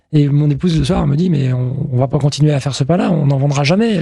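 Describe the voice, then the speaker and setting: This man's voice sits fairly high in pitch, with ordinary pitch variation and a fairly quick pace. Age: 50s. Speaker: baker. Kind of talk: interview. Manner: halting, with many fillers.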